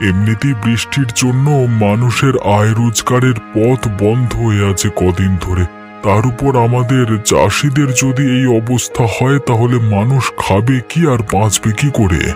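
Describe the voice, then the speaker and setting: A man's cartoonish character voice at a medium pitch and moderate pace, with clear music in the background. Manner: worried.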